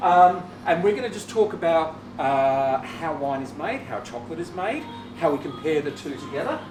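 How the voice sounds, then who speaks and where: A man with a fairly high pitch speaks with lively intonation. Music plays in the background, and room echo is audible. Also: moderate pace, big swings in loudness. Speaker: chocolate factory owner. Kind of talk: hosted tasting presentation. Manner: hesitant, many fillers.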